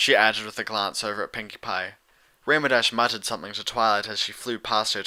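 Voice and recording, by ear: What we hear is reading aloud in a natural voice.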